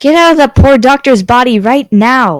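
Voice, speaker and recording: Someone puts on a character voice at a fairly high pitch. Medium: read story. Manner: menacing, contemptuous.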